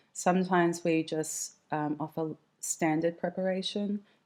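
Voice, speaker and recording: A woman with an Australian accent and a very deep, low pitch, in a very clean recording with a silent background. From Western Australia. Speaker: mortician and embalmer. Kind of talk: interview conversation.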